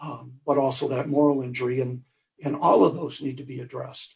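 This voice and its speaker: A man talks at a moderate pace in a fairly high voice with vocal fry. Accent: American. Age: 70s. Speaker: war veteran, medal of honor recipient. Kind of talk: panel discussion. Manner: halting.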